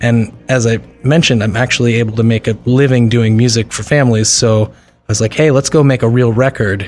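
A man's unremarkable speaking voice with an American accent, medium pitch, fairly even intonation and a fairly quick pace. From New Jersey (Morris and Bergen County). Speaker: musician. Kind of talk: casual interview.

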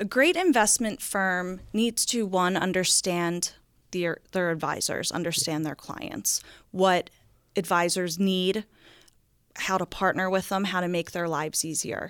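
A woman's ordinary speaking voice with an American accent, medium pitch, ordinary pitch variation and a fairly slow pace. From New Jersey, Philadelphia suburbs. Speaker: investment wholesaler. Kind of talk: interview.

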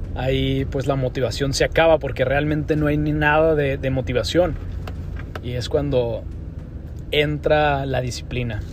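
Speaking at a fairly slow pace, a man is heard over noticeable background noise. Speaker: podcast host and cattle auction professional. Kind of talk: pep talk: fired-up motivational exhortation on discipline, ownership and getting back up. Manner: earnest, emphatic, coach-like and urging, with punchy repeated phrases.

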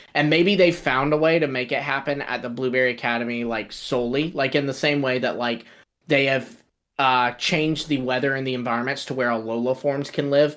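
In a very clean recording with a silent background, a man talks in an ordinary speaking voice at medium pitch with fairly even intonation. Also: fairly quick pace. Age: 20s. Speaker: podcast co-host. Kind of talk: casual chat.

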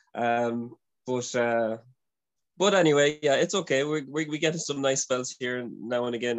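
Here a man with an Irish accent speaks at a medium pitch and moderate pace, his intonation fairly even. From Ireland. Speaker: former religious brother. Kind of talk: interview. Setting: video call.

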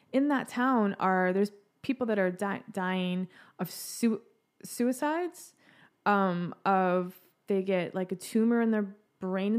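A woman's medium-pitched, a normal speaking voice with an American accent, ordinary pitch variation and a fairly slow pace, on a very clean recording with a silent background. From East Texas. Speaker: comedian. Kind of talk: casual chat. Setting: studio.

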